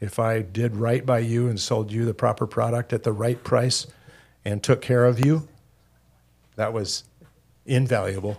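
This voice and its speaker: On a very clean recording with a silent background, a man with a medium pitch talks at a moderate pace, somewhat breathy, with fairly even intonation and long, frequent pauses. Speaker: retired clothing store owner. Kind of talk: interview.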